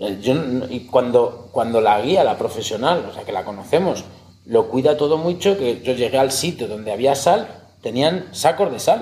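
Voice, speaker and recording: A man talks in a normal speaking voice at medium pitch, his intonation lively. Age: 40s. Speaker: taxidermist and hunter. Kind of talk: casual interview.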